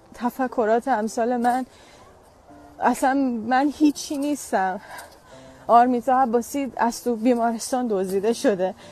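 A woman's high-pitched voice at a fairly slow pace, with ordinary pitch variation, a dry sound with no echo and music in the background. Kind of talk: emotional personal statement. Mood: upset, defiant, emotional. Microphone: earbuds.

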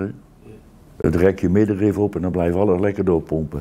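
A man speaks in a fairly low voice with a dark, mellow tone. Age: 70s. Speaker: retired air force serviceman; interviewee. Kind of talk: interview. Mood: reflective, warm. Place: home room.

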